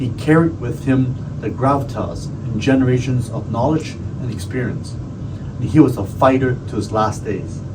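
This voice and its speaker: Speech at a moderate pace with hardly any pauses and ordinary pitch variation comes through noticeable background noise. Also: man, medium pitch for a man. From Hong Kong. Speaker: county supervisor; navy veteran. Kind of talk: tribute speech to camera.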